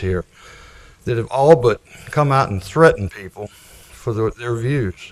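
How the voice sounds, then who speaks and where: Speaking with an American accent, a man talks at a moderate pace with ordinary pitch variation. The sound is dry and close with no echo, though there is noticeable background noise. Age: 70s. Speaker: resident speaking at public comment. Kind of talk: public comment at a town meeting. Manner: halting.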